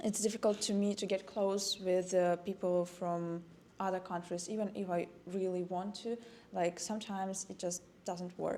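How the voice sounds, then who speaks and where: A woman speaks with a Russian accent at a moderate pace. Her pitch is medium and her intonation is flat and monotone. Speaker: university student. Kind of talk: casual chat.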